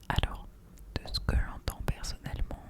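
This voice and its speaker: Someone is whispering. Noticeable background noise can be heard. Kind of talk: ASMR chat to camera. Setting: studio microphone at home. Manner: whispered.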